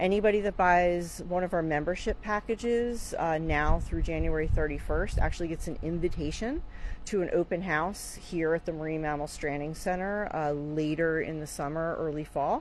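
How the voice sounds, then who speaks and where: A woman with a fairly low pitch talks at a moderate pace with ordinary pitch variation and hardly any pauses. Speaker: marine mammal rescue center staff presenter. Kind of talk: live video walkthrough update. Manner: casual, hesitant with fillers; quiet.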